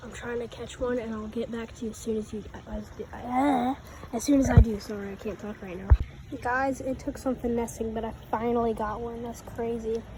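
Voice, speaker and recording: Noticeable background noise surrounds a woman speaking at a fairly quick pace with big swings in loudness. Her pitch is fairly high and her intonation monotone and flat. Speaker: fishing vlogger. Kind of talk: outdoor vlog narration. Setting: outdoors by a creek. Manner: casual; whispering at times.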